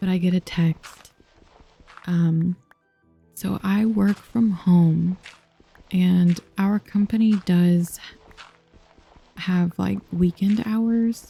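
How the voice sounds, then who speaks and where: Soft-spoken and medium in pitch, a woman speaks at a very slow pace with long, frequent pauses and fairly even intonation. The sound is dry and close with no echo, with music in the background. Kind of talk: soft-spoken ASMR gaming chat.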